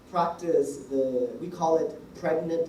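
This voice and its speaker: There is noticeable background noise throughout. The voice carries an American accent. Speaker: embassy official giving feedback. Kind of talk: feedback talk to students. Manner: deliberately slowed pace.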